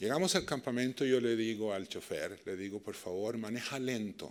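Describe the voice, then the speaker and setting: Speaking fairly slowly, this man has a Chilean accent. His delivery stays unhurried. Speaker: peace and dialogue practitioner. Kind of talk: lecture.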